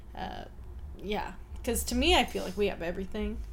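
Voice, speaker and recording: The speaker has a Canadian accent, and there is audible room echo. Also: woman. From Chilliwack, British Columbia, Canada. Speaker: wine YouTuber. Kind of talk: casual chat.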